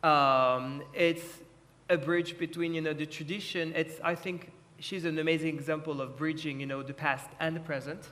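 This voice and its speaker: A man with a French accent uses a fairly high pitch and fairly even intonation at a moderate pace. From France. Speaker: art lawyer. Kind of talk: panel discussion.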